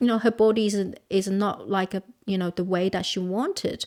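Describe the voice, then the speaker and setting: Over a very clean, silent background, a woman with a Chinese accent speaks at a moderate pace. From southern China, Guangxi. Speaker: counsellor. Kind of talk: interview. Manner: halting, frequent repetitions.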